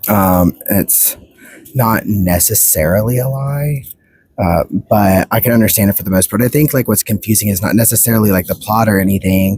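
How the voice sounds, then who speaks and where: A soft-spoken man talks at a fairly low pitch with ordinary pitch variation. His loudness stays very even, and the sound is dry and close with no echo. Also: moderate pace. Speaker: book reviewer. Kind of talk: casual vlog review. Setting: outdoors at the beach. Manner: halting.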